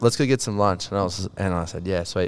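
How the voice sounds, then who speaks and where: At a fairly quick pace, a man with an Australian accent talks at a fairly low pitch with ordinary pitch variation. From New South Wales, Australia. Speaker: filmmaker and photographer. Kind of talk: casual chat. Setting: studio.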